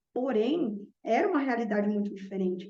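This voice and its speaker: Her voice is fairly high-pitched with a dark, mellow tone, and the woman speaks at a moderate pace with lively intonation. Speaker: math teacher. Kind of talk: reflective monologue.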